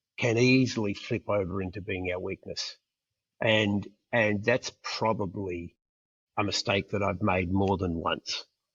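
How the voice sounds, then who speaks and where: A man with an Australian accent speaks fairly slowly at a fairly low pitch. His voice is somewhat breathy, with fairly even intonation. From Perth, Australia. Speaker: international school executive. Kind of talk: interview answer.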